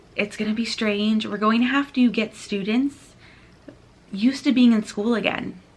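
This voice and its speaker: A woman speaks at a moderate pace in a fairly high pitch. Noticeable background noise runs behind her. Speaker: teacher and course creator. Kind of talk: product explainer video. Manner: animated.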